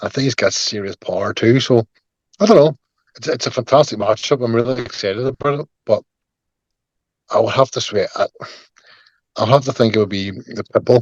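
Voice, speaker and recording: A man with a strong Northern Irish accent at a fairly quick pace, ordinary pitch variation, and a dry, close sound with no echo. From Northern Ireland, Belfast. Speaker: MMA fighter. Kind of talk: interview.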